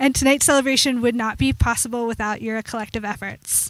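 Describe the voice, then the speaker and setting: Soft-spoken and fairly quick, with ordinary pitch variation. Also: woman. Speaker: program director and instructor. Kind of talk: ceremony speech. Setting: graduation ceremony with audience.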